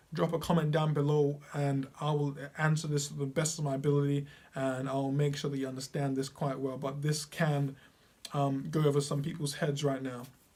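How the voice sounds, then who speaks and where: Somewhat breathy, a man speaks at a fairly high pitch in a flat monotone. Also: moderate pace. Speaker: piano teacher. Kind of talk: tutorial. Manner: casual with filler words.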